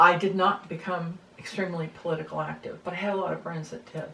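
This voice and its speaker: A woman with an American accent speaks at a fairly low pitch and a moderate pace. Her intonation is monotone and flat, and the background noise is noticeable. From United States. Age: 70s. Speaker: interviewee sharing views on government. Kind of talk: casual conversation. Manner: hesitant, with fillers.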